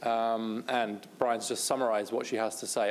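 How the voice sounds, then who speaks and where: With a British accent, a man talks fairly quickly. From Britain. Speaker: policy researcher, speaker. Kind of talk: conference talk.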